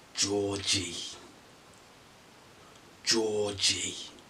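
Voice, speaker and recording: A man uses a put-on character voice at a fairly low pitch, speaking in a flat monotone. Background noise is clearly audible. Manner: creepy.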